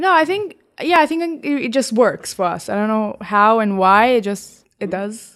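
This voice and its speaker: Very clean recording with a silent background of a woman at a fairly high pitch, very wide pitch swings, a moderate pace and hardly any pauses. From Israel. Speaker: photographer and magazine co-founder. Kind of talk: interview conversation.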